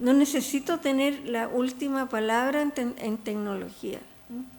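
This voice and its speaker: A woman with a high voice talks very slowly, using ordinary pitch variation. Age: 80s+. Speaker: textile artist and researcher. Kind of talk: panel talk. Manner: halting.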